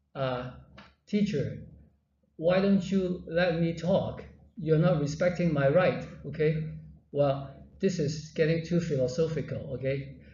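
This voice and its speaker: In a room with audible echo, a man with a fairly high pitch speaks at a fairly slow pace, with fairly even intonation and long, frequent pauses. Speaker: university lecturer. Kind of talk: lecture. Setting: classroom with students. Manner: halting.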